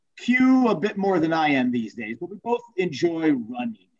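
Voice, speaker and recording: The speaker talks in an American accent. The pace is fairly slow. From Wisconsin. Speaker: podcast co-host, runner. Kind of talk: casual chat.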